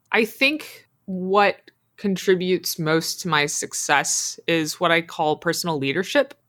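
A woman talks at a fairly slow pace with hardly any pauses and lively intonation. It is an ordinary speaking voice. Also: fairly low pitch for a woman, very even loudness. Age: 30s. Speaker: game studio executive. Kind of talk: interview.

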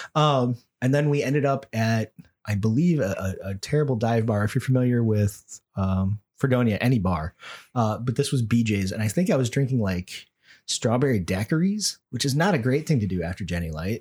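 A man with an American accent speaks in a normal speaking voice at medium pitch and a moderate pace. The intonation is lively, and the recording is very clean with a silent background. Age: middle-aged. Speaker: podcast host. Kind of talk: casual chat. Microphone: too close to the mic at times.

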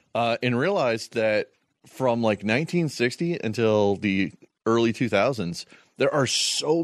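A man speaks at a fairly slow pace in a normal speaking voice, with lively intonation. The sound is dry and close with no echo, over a quiet background. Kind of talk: casual chat.

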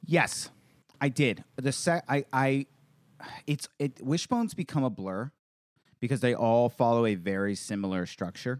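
A man speaks at a medium pitch and fairly slow pace, with lively intonation and long, frequent pauses, in a dry, close sound with no echo. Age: 30s. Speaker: stand-up comedian. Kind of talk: casual chat. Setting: video call.

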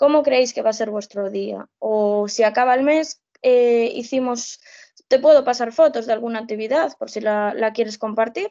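Here is a woman with a normal speaking voice at a fairly high pitch. She keeps a moderate pace with ordinary pitch variation. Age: 20s. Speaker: social educator. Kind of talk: casual interview.

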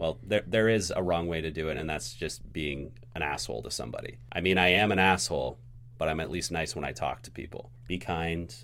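A man with a very deep, low voice and vocal fry speaks at a fairly quick pace with lively intonation. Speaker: podcast producer and editor, first-time guest host. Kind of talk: casual chat. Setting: studio.

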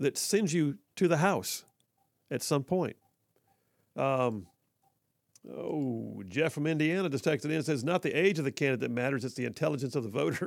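A man with an American accent speaks at a fairly high pitch, with lively intonation and vocal fry. He leaves long, frequent pauses. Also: moderate pace. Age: 50s. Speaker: talk radio host. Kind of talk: call-in talk radio. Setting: studio.

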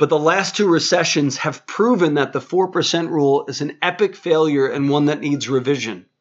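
Speaking with hardly any pauses, a man with an unremarkable speaking voice keeps a moderate pace and fairly high pitch with ordinary pitch variation. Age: 30s. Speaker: financial radio host and author. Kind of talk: interview.

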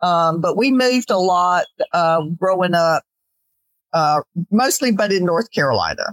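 An unremarkable speaking voice with an American accent and lively intonation, dry and close with no echo. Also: woman. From Georgia, US South. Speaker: author and retired minister. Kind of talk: interview conversation.

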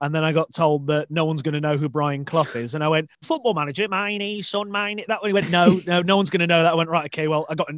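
Talking at a very fast pace with hardly any pauses, a man with a West Midlands accent uses a fairly high pitch and ordinary pitch variation. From English Midlands, Shrewsbury. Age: 20s. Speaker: podcast host, stand-up comedian. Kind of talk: casual interview chat.

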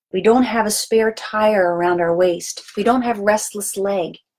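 An unremarkable speaking voice from a woman, with lively intonation at a moderate pace. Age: 50s. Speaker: health coach. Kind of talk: educational monologue.

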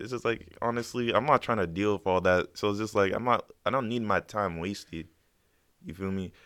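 Fairly low-pitched male speech in a plain, everyday voice, fairly quick, with ordinary pitch variation, on a very clean recording with a silent background. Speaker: beatmaker. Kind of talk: casual chat. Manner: casual.

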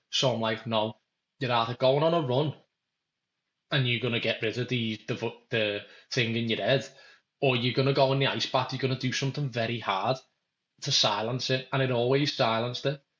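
A speaker with a Liverpool accent talks at a fairly quick pace with fairly even intonation. Long pauses come often. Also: man, medium pitch for a man. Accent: Scouse (Liverpool). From Merseyside, England (Kirkby, Liverpool area). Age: 20s. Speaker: merchant navy engineer. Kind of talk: casual chat.

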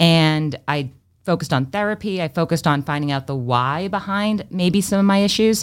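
A woman's fairly low-pitched, unremarkable speaking voice with ordinary pitch variation, on a very clean recording with a silent background. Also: moderate pace. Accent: American. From Massachusetts, Freetown near Fall River. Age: 30s. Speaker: former TV news anchor and marketing agency owner. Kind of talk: casual interview chat. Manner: fluent, polished broadcaster delivery.

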